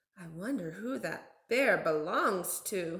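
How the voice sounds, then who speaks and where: A woman's put-on character voice, medium in pitch, fairly slow, with very wide pitch swings. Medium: read story.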